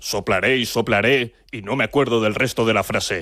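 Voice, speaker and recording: A man puts on a character voice. He speaks at a moderate pace in a medium pitch. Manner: growly, menacing, playful.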